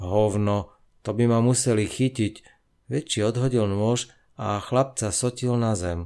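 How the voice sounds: Fairly even intonation runs through it. It is a natural reading voice.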